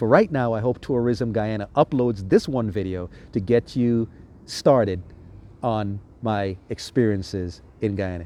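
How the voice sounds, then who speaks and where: Speaking at a moderate pace, a man uses a fairly low pitch and a dark, mellow tone with ordinary pitch variation. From US Virgin Islands (St. Thomas). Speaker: travel vlogger. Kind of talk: casual monologue travel review. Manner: relaxed, conversational with fillers.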